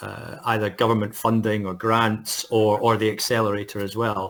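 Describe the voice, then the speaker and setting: A man speaks with a Scottish accent at a fairly low pitch and a fairly slow pace. The recording is very clean, with a silent background. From Scotland. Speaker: futurist. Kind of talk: interview. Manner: halting, many fillers.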